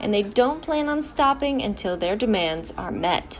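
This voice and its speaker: Over music in the background, a woman with an American accent speaks at a fairly slow pace with lively intonation. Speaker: TV news reporter and anchor. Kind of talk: local TV news anchor delivery.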